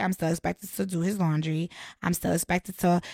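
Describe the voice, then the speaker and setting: A woman with an American accent, medium pitch and fairly even intonation, an unremarkable speaking voice. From Connecticut. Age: 30s. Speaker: podcast guest. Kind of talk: casual chat.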